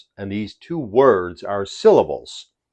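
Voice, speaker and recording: A man speaks with an American accent. The background is quiet. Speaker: English teacher. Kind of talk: tutorial. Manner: slow, deliberate.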